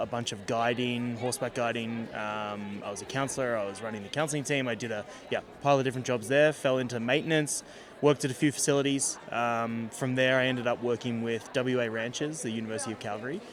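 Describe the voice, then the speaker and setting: A man with an Australian accent, medium in pitch, very fast and fairly even in intonation, with music in the background. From southeast Australia. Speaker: agriculture consultant and speaker. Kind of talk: casual podcast interview. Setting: conference venue.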